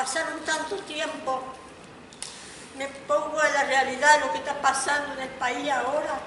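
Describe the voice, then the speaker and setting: In a room with audible echo, a woman talks at a high pitch and a moderate pace. Her intonation is fairly even, and background noise is noticeable. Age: 50s. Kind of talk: audience comment.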